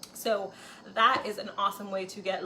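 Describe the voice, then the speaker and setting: A woman at medium pitch and a moderate pace, with noticeable background noise. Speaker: cooking video host. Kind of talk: cooking tutorial. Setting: home kitchen. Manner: casual with fillers.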